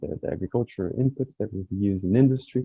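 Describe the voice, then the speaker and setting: A man speaks with a Portuguese accent at a moderate pace. His pitch variation is ordinary. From Brazil. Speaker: researcher panelist. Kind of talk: panel discussion.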